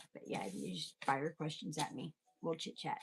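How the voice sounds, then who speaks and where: Vocal fry runs through a woman's voice as she speaks at a moderate pace. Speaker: tarot reader. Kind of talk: live tarot reading stream. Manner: chatty.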